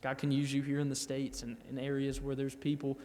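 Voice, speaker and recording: This is a man with a Southern US accent. His pitch is fairly high. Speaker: missionary. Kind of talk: church testimony.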